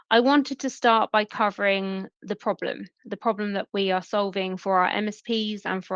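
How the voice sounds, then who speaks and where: Over a quiet background, a woman with a British accent speaks at a moderate pace with fairly even intonation, the sound dry and close with no echo. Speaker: email security sales lead. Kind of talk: webinar presentation.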